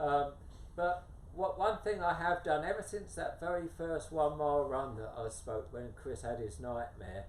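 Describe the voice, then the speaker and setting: In a room with audible echo, a man with a fairly high voice speaks at a moderate pace with lively intonation. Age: 70s. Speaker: adventure runner and author. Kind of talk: interview. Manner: hesitant with fillers.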